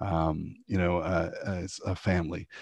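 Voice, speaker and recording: A man speaks with a very deep, low pitch in a Canadian accent. The sound is dry and close with no echo, over a quiet background. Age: 40s. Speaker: homelessness charity CEO. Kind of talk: interview conversation. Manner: halting, with frequent repetitions.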